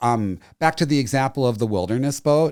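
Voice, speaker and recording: A man with a plain, everyday voice speaks at a medium pitch with ordinary pitch variation on a very clean recording with a silent background. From US Northeast, near Boston. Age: 60s. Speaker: marketing executive. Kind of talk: casual interview conversation.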